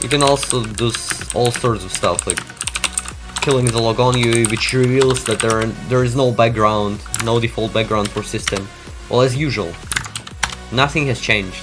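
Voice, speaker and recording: Over music in the background, a man with a Russian accent speaks at medium pitch and a moderate pace, with fairly even intonation and long, frequent pauses. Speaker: tech youtuber. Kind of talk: live stream commentary. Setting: live stream.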